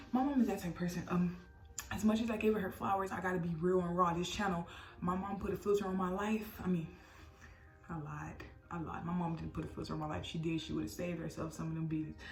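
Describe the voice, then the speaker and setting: A woman speaks very fast in a fairly low voice. Music plays in the background, and the room echo is audible. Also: ordinary pitch variation. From US Midwest, Missouri. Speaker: vlogger. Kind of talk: personal storytelling. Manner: animated.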